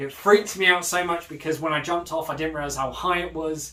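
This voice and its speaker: A man speaks with a British accent against noticeable background noise. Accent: British accent, remarked on by others at camp. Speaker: vlogger. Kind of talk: casual vlog monologue. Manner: fast; animated.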